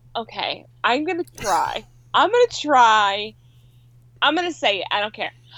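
Speaking fairly slowly, a woman leaves long, frequent pauses. Her high, bright, sharp voice swings very widely in pitch. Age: 30s. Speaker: podcast co-host. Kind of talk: casual chat. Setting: Skype call.

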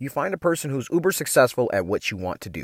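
Talking at a very fast pace, a man uses lively intonation and an animated tone in a dry, close sound with no echo. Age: 40s. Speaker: podcast host, mindset coach. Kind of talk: motivational monologue.

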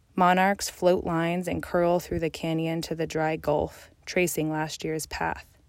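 In an American accent, a woman with a fairly low pitch talks at a fairly slow pace, with hardly any pauses and a monotone, flat delivery. The recording is very clean, with a silent background. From Colorado. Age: 20s. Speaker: graduate student and nature writer. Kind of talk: reading aloud.

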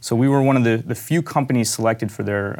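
Speaking with an American accent, a man keeps his intonation fairly even. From Pittsburgh, US. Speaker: physician and product founder. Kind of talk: interview. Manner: halting, many fillers.

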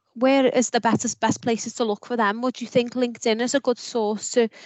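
At a fairly quick pace, a woman talks with a fairly high pitch and a British accent. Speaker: podcast host. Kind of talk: panel discussion.

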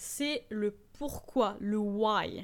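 A woman's animated tone with lively intonation. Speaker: e-commerce podcast host. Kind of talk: solo tutorial podcast.

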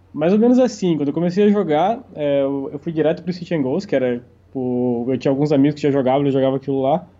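An ordinary speaking voice from a man, fairly high in pitch, at a fairly quick pace. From Santa Catarina, Brazil. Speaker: professional poker player. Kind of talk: interview.

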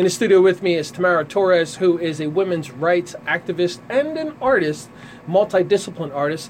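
Noticeable background noise runs under a man's high-pitched voice. He speaks at a fairly quick pace with ordinary pitch variation. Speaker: radio show host. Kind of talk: radio interview. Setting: studio.

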